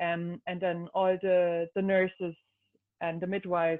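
A woman speaks in a German accent. Her pitch is fairly low. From Germany. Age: 30s. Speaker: new mother. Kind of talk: casual chat.

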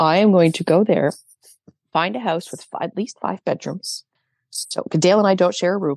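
A woman speaks in an ordinary speaking voice at a medium pitch, with a Canadian accent and ordinary pitch variation. The pace is moderate, and the sound is dry and close with no echo. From Canada. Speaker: documentary filmmaker. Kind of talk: casual chat.

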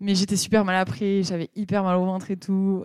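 Recorded very cleanly against a silent background, a woman speaks at a moderate pace in a medium pitch with a dark, mellow tone and a dry, close sound with no echo. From southwestern France, Pau. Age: 30s. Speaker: amateur runner. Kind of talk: casual chat.

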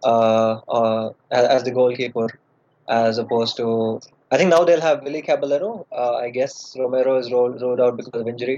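Moving at a fairly quick pace, a man speaks at a medium pitch with a dark, mellow tone and fairly even intonation. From India. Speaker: football fan. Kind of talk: casual chat.

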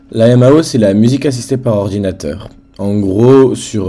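The man's tone is dark and mellow. He speaks at a very slow pace. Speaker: independent pop singer. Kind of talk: casual interview.

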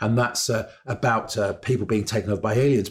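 On a very clean recording with a silent background, a man speaks at medium pitch in a somewhat breathy voice. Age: 60s. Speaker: historian. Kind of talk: educational discussion. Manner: hesitant, many fillers.

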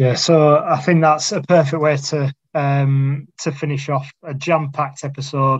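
Somewhat breathy and fairly high for a man, his voice moves at a fairly slow pace with hardly any pauses and a monotone, flat intonation. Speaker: podcast host. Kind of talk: casual chat. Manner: halting.

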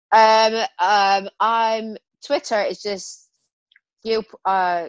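Speech in a Scottish accent comes at a very slow pace, with long, frequent pauses and fairly even intonation. The sound is dry and close with no echo, over a quiet background. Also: woman. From Scotland. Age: 40s. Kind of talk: casual chat.

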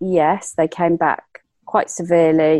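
With an English accent, a woman speaks at a fairly low pitch, the sound dry and close with no echo over a quiet background. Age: 40s. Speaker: entrepreneur and fashion lecturer. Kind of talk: interview.

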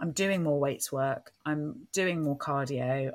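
A woman with an English accent speaks at a very deep, low pitch on a very clean recording with a silent background. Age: 40s. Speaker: podcast host, business coach. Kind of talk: casual chat.

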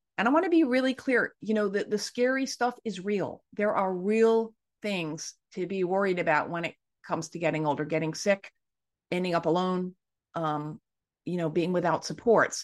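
A woman talks in a normal speaking voice at medium pitch, with ordinary pitch variation and a moderate pace. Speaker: author and anti-ageism activist. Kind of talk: interview discussion. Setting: video call.

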